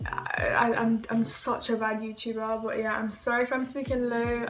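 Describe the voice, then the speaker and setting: Music plays in the background of a room with audible echo. A woman speaks at a moderate pace in a fairly high, monotone, flat voice. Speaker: beauty YouTuber.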